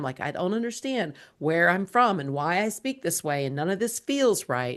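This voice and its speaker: Speaking at a fairly quick pace with lively intonation, this voice has a Southern US accent against a quiet background. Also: woman. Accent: Southern US accent, less thick than before. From US South, South Georgia. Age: 50s. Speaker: entrepreneur and author. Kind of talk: podcast interview.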